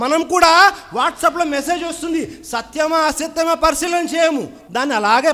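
Extremely high in pitch, this man's voice carries a bright, sharp tone. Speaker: Islamic preacher. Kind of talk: Islamic sermon / reminder. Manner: earnest, exhortative, speaking directly to the audience.

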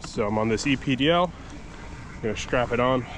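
The man's pitch varies in an ordinary way. The sound is dry with no echo, though background noise is noticeable. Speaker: fishing vlogger. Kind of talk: casual vlog chat. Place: waterside. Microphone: phone near.

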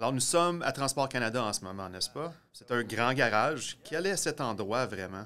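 A man's bright, sharp voice with lively intonation and hardly any pauses. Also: moderate pace. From eastern Ontario. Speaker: science video producer and host; host. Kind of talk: casual explainer chat. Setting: garage. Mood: curious, friendly. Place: garage.

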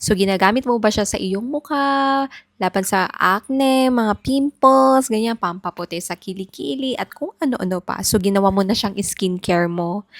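A woman speaks in an unremarkable speaking voice at medium pitch, at a moderate pace with hardly any pauses and lively intonation. The sound is dry and close with no echo, on a very clean recording with a silent background. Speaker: doctor giving health advice. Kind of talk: health advice video.

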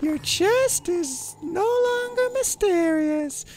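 An extremely high, squeaky put-on character voice at a very slow pace. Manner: stiff, deadpan, oddly formal.

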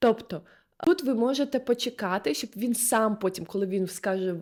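An unremarkable speaking voice, this woman talks at a moderate pace and a medium pitch. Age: 20s. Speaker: video blogger and body-oriented therapist. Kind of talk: casual advice monologue. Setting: recorded on the spot.

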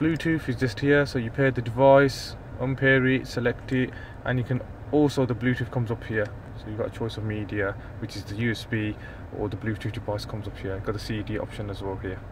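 A man talks at a fairly quick clip with fairly even intonation. The sound is dry with no echo, though background noise is noticeable. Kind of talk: car walkaround commentary. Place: car. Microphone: phone near.

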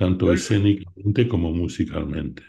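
A man's very deep, low voice, dark and mellow in tone, somewhat breathy, with ordinary pitch variation. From Argentina. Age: 80s+. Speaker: art collector and opera enthusiast; interviewee. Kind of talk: interview reminiscence. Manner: halting. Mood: reminiscing, warm. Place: home room. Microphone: video call.

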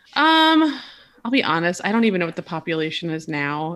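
Over a quiet background, a woman with a fairly low, bright and sharp voice talks at a fairly quick pace. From small-town Wisconsin. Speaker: visual designer; podcast guest. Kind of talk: casual chat. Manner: animated. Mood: relaxed, chatty. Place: home room. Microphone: webcam.

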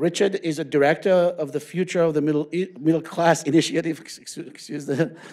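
A man talks at a fairly quick pace with fairly even intonation. It is a normal speaking voice. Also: fairly high pitch for a man, quiet background. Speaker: center director introducing speaker. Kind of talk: formal introduction. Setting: stage with audience. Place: hall. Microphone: podium.

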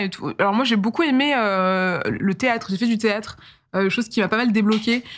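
At a moderate pace, a woman speaks in a fairly high pitch with ordinary pitch variation. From France, Eure-et-Loir (Dreux). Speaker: YouTuber and storyteller. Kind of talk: casual interview. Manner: animated. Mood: relaxed, reflective. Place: studio. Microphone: studio mic.

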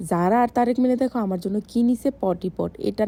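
A woman's dark, mellow tone comes through somewhat breathy, with lively intonation. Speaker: vlogger. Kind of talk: casual vlog. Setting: shopping mall.

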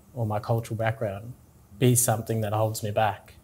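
A man with an Australian accent sounds somewhat breathy. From Tingha, New South Wales, Australia. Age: young. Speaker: interviewee. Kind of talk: interview answer. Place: office. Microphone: lapel.

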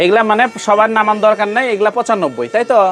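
Over noticeable background noise, a man's high-pitched voice shows ordinary pitch variation. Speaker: shoe wholesale vlogger. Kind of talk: casual market vlog with shopkeeper. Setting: shoe shop in a trade center.

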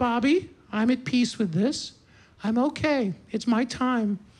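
Against a quiet background, a female-sounding voice does a put-on character voice, high-pitched and at a fairly slow pace. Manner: calm, peaceful, reassuring.

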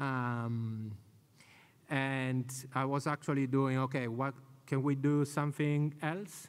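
In an Italian accent, a man speaks very slowly with long, frequent pauses, fairly even intonation and very even loudness. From Italy. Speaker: conference speaker, community event organizer; conference speaker. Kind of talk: conference talk. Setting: stage with audience. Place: hall. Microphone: podium.

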